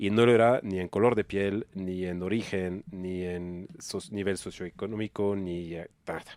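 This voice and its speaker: A man speaks at a fairly slow pace in a very deep, low voice, monotone and flat, with hardly any pauses. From France. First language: French (speaking Spanish). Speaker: nonprofit executive. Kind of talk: casual podcast interview. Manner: casual slangy.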